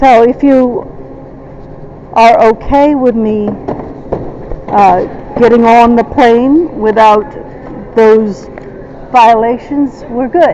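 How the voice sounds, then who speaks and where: With noticeable background noise behind her, a woman with a fairly high pitch speaks at a very slow pace with ordinary pitch variation. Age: 60s. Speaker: traveler at airport checkpoint. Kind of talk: confrontational argument. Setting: airport security checkpoint. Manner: halting, many fillers.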